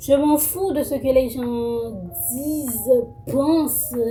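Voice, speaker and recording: A woman speaks very slowly in a high voice with ordinary pitch variation, music playing in the background. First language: Creole (speaking French). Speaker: YouTuber. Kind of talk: casual self-introduction vlog. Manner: halting, many fillers and repetitions.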